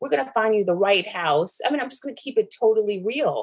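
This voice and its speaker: A woman with an ordinary speaking voice, medium pitch, lively intonation, a fairly quick pace and an American accent. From New York, the Bronx, then Atlanta from age 14. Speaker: real estate agent. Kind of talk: casual interview. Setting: video call.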